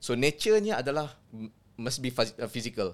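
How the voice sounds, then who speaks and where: Using an unremarkable speaking voice, a man talks at a medium pitch and a moderate pace. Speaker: sports psychology lecturer. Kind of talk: explanatory discussion.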